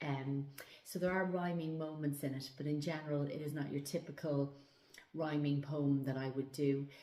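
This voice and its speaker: A woman with an Irish accent speaks in a very deep, low voice with monotone, flat intonation. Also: moderate pace. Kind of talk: casual talk to camera.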